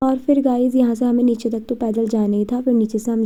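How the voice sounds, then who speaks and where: Somewhat breathy and dark, mellow in tone, a woman speaks at a fairly high pitch and moderate pace with a monotone, flat intonation. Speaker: vlogger. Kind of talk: casual vlog narration.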